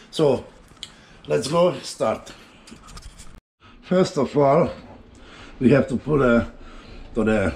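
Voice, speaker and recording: With a Hungarian accent, a man talks at a very slow pace in a somewhat breathy voice with lively intonation. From Hungary. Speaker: home cooking youtuber. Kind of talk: cooking tutorial. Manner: halting, many fillers.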